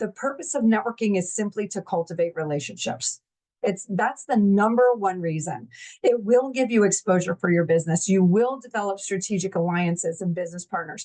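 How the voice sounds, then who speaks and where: This woman talks at a fairly quick pace with lively intonation and a medium pitch, in a dry, close sound with no echo. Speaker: business networking organizer, workshop host. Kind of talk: webinar presentation. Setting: virtual online event. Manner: fast; animated.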